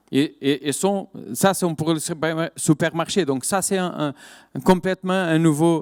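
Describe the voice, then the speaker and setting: In a dry, close sound with no echo, a man with a fairly high pitch speaks at a fairly slow pace. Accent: Portuguese. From Portugal. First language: Portuguese (speaking French). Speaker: winemaker, wine business director. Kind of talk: conference talk. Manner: halting, many hesitations and repetitions.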